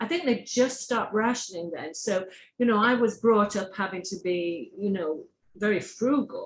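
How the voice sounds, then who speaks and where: A woman speaks at a fairly high pitch with lively intonation. Her voice is somewhat breathy. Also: moderate pace. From England. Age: 60s. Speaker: online talk show host. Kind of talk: interview.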